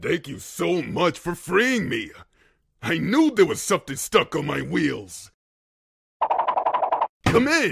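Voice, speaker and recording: A man talks in a cartoonish character voice, high-pitched for a man. His pace is fairly slow, with long, frequent pauses. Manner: upbeat, enthusiastic.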